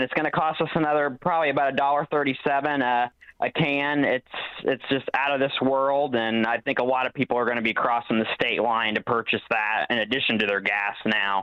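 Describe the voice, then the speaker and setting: With a Southern Illinois accent, a man speaks at medium pitch and a fairly quick pace, his loudness very even. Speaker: local party chairman. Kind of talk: talk radio interview.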